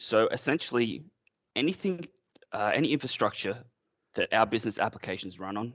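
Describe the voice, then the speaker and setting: A man is speaking. He has an Australian accent. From Australia, near Brisbane, Queensland. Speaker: IT manager. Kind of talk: podcast interview.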